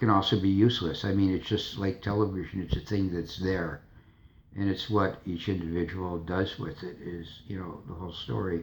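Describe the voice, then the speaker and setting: Somewhat breathy and very deep in pitch, a man speaks at a fairly quick pace with fairly even intonation. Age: 60s. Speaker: vlogger. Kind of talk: casual monologue. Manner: halting.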